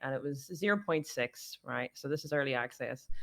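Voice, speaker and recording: In a Northern Irish accent, the voice has a bright, sharp tone at a moderate pace, with ordinary pitch variation, a dry, close sound with no echo, and a very clean recording over a silent background. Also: woman. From Northern Ireland. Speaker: streamer. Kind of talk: casual chat. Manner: animated.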